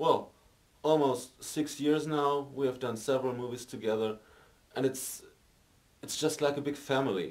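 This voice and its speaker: The speaker is a man with a German accent. His pitch is medium. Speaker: amateur film actor. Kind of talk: interview. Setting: film set. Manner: halting, many fillers.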